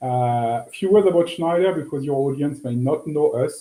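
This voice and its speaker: A man speaks with a French accent at a moderate pace. His tone is dark and mellow. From France. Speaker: business executive. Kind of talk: interview.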